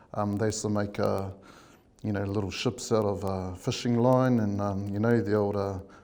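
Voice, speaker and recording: A man speaks with monotone, flat intonation and a dark, mellow tone. Audible room echo surrounds his voice. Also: fairly low pitch for a man, moderate pace. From New Zealand, Bay of Plenty (Kawerau, Tauranga). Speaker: artist. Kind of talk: interview. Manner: many fillers and hesitations.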